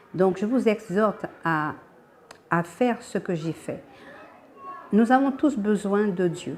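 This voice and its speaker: A woman's medium-pitched voice at a very slow pace, with ordinary pitch variation. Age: 60s. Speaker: church member giving testimony. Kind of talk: testimony. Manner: halting.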